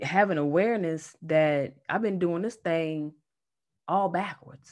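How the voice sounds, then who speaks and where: Against a quiet background, a woman with a Southern US accent talks with lively intonation. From North Carolina, US South. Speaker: energy healer and Reiki teacher. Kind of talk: casual chat.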